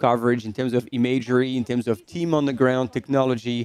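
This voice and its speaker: A man with a French accent talks very fast at a medium pitch, his intonation flat and monotone, the sound dry and close with no echo. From France. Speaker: livestream commentator. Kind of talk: live commentary. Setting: studio.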